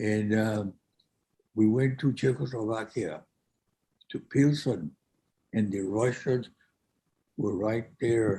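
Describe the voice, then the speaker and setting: A man with a medium pitch, a dark, mellow tone and a somewhat breathy sound speaks very slowly, with ordinary pitch variation and long, frequent pauses. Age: 80s+. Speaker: World War II veteran. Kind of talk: interview answer. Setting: video call.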